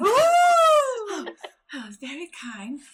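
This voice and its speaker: Squeaky and extremely high-pitched, a woman does a put-on character voice with very wide pitch swings. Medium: actual play. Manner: chirpy, airy.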